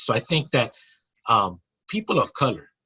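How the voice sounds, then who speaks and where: A bright, sharp tone in an American accent, against a quiet background. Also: man. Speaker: nonprofit founder, former gang member. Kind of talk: interview. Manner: articulate; stammering repetitions.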